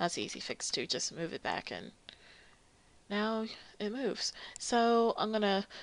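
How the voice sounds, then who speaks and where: This woman speaks at a moderate pace with a medium pitch and fairly even intonation in an ordinary speaking voice. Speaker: 3D modeling tutorial creator. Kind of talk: tutorial. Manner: casual, many filler ums.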